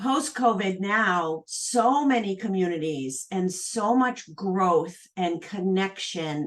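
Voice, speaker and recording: Lively intonation marks this woman's speech. Her pitch sits at a medium level. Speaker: entrepreneur and asset manager. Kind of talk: casual chat.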